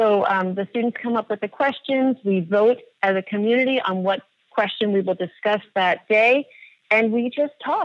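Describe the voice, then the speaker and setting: A woman speaks at a moderate pace. Her pitch is fairly high, with ordinary variation. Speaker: elementary school teacher. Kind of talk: casual interview conversation. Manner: halting, many fillers; clear and strong.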